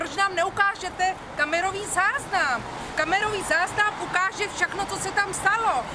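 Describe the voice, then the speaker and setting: Over noticeable background noise, a woman with an extremely high pitch projects a raised voice at a moderate pace. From Czech Republic. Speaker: protester. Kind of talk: street interview.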